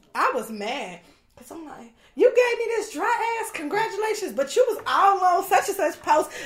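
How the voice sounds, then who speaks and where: Over noticeable background noise, a woman speaks at a moderate pace in an extremely high pitch, with very wide pitch swings and big swings in loudness. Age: 30s. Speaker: business owner. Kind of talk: casual chat.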